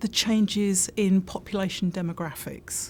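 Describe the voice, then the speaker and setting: A somewhat breathy woman at a fairly slow pace, in a very clean recording with a silent background. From UK. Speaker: insurance industry consultant. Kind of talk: interview.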